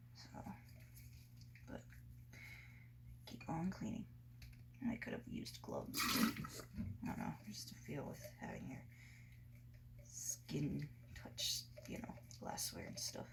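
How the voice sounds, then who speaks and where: A woman whispers at a fairly slow pace, with long, frequent pauses. Noticeable background noise and audible room echo surround her. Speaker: antique collector vlogger. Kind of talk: casual vlog narration while cleaning. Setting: at home, kitchen sink. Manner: whispering; hesitant, many fillers.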